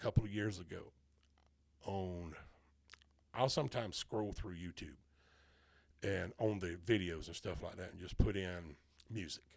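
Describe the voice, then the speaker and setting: This man has a very deep, low voice, pausing long and often while his loudness swings widely. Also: ordinary pitch variation, moderate pace. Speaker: podcast host. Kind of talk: casual chat.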